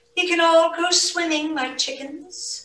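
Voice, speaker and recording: In a put-on character voice, a woman speaks at a fairly slow pace with extremely high pitch and a slight echo. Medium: read story.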